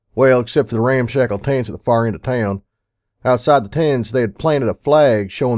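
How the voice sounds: In a natural reading voice with ordinary pitch variation, the speech sits on a quiet background.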